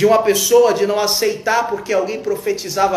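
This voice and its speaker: A man speaks fairly quickly and with fairly even intonation, his voice carrying audible room echo over noticeable background noise. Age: 40s. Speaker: evangelical preacher. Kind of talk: informal sermon on a live stream. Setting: live stream.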